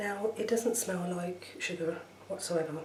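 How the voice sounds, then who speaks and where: The voice is soft-spoken, with fairly even intonation at a fairly slow pace. Noticeable background noise runs underneath. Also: woman. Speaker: ASMR creator cooking host. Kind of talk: ASMR product review talk to camera.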